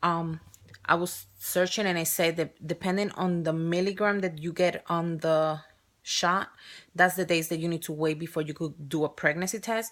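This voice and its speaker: This woman has a fairly low voice and a strong Spanish accent. She talks at a moderate pace with monotone, flat intonation. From Spain or Spanish-speaking country. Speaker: surrogate mother vlogger. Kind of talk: casual vlog. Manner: halting.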